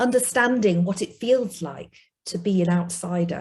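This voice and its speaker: A woman speaks at a medium pitch with a Yorkshire accent, her voice somewhat breathy and dark, mellow in tone. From northern England (South Yorkshire, Rotherham). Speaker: investment industry executive. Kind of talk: personal testimony.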